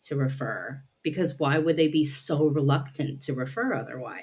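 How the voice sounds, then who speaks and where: A woman with a very deep, low pitch speaks with fairly even intonation. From Nepalese American living in the UK. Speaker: psychodynamic counselor. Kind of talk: podcast interview answer.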